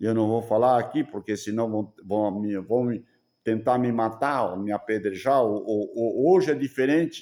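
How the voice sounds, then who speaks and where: A man speaks at medium pitch in a dark, mellow tone, with ordinary pitch variation. His pace is fairly slow, and the recording is very clean with a silent background. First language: German (speaking Portuguese). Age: 70s. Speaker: preacher. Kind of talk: sermon. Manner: halting.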